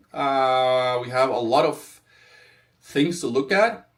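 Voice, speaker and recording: This man has a non-native accent and a medium pitch. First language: not English. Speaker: crypto trader. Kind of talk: live stream market analysis. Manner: animated, hyped; halting, with fillers.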